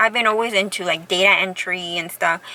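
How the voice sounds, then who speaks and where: A woman speaks with an American accent. Background noise is noticeable. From Southern California, Orange County. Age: 40s. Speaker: vlogger. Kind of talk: casual vlog monologue. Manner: conversational, many fillers and restarts.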